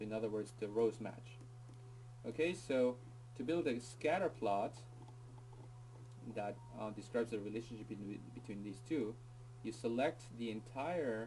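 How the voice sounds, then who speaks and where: Somewhat breathy and dark, mellow in tone, a man speaks at a medium pitch with ordinary pitch variation and long, frequent pauses. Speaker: teacher. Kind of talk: tutorial. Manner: fast; casual, hesitant with fillers.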